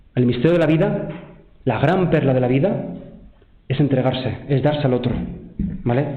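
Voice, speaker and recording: The recording carries noticeable background noise and audible room echo. Loudness stays very even, with long, frequent pauses. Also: man, fairly high pitch for a man, ordinary pitch variation. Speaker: seminarian giving vocation testimony. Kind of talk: testimony. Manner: fast; animated.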